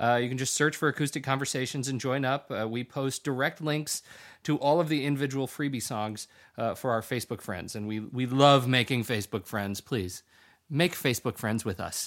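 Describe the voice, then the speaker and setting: A man talks in a normal speaking voice at a medium pitch and moderate pace, with ordinary pitch variation. Everything is very clean, with a silent background. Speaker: podcast host. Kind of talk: casual interview chat.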